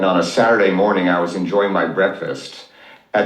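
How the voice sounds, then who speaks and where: A man with an American accent at a fairly low pitch, with audible room echo and noticeable background noise. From Oklahoma, US. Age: 60s. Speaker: financial advisor. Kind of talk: interview storytelling.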